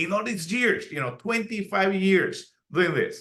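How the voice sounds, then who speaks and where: A man's voice with a bright, sharp tone. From Puerto Rico. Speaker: archaeologist and pastor. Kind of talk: interview. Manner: energetic.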